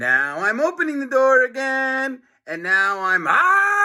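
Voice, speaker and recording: Putting on a character voice, a man speaks at an extremely high pitch with very wide pitch swings. His pace is fairly slow. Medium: read story. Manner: snarling.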